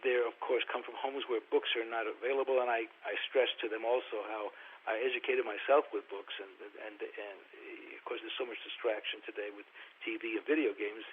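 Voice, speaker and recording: Over noticeable background noise, a man with a New York accent talks at a fairly quick pace with big swings in loudness. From New York (Brooklyn). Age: 70s. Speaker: film producer and author. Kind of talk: interview.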